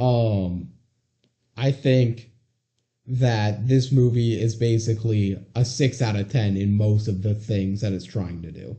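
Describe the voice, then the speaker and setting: A man speaks at a very slow pace with a medium pitch. His voice is somewhat breathy, and his intonation stays fairly even. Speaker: podcast co-host. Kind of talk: casual chat.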